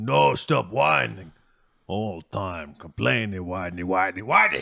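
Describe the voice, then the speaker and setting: Using a put-on character voice with a very deep, low pitch, a man speaks at a fairly slow pace on a very clean recording with a silent background. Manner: stubborn, dismissive.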